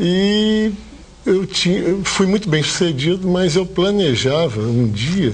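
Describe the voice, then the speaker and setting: A man with lively intonation, amid audible room echo and noticeable background noise. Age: 60s. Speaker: hotel owner, former dentist. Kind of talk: TV interview.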